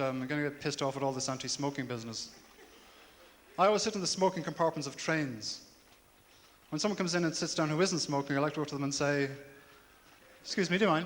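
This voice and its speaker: Speaking very fast with a Dublin accent, a man with a fairly high pitch and ordinary pitch variation breaks off into long, frequent pauses. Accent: Dublin Irish. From Ireland, Dublin. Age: 30s. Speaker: comedian. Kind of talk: stand-up. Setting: stage with audience.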